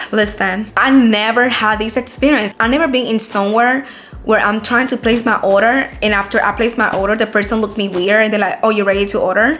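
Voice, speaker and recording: A woman with a non-native accent talks at a very fast pace in a fairly high pitch. Her tone is animated, and background noise is noticeable. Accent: noticeable foreign. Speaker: lifestyle vlogger. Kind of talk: casual storytime vlog.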